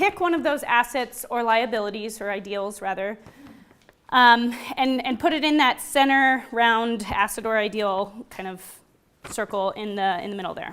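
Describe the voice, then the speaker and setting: Her loudness swinging widely, a woman speaks with ordinary pitch variation. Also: fairly high pitch for a woman. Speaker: workshop presenter. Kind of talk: interactive workshop presentation. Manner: fast.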